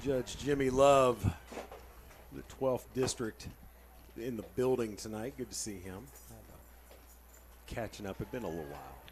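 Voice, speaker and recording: A man at medium pitch, with lively intonation, big swings in loudness, a moderate pace and long, frequent pauses. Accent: American. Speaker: play-by-play announcer. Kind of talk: live commentary. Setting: press box.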